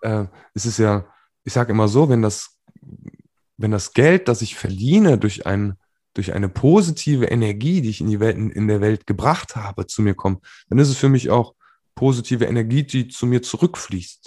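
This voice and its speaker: A man speaks at medium pitch and a moderate pace, with long, frequent pauses. His tone is dark and mellow, his intonation lively, and the background is quiet. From western Germany, Remscheid near Düsseldorf. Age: 30s. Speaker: life coach and speaker. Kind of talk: interview.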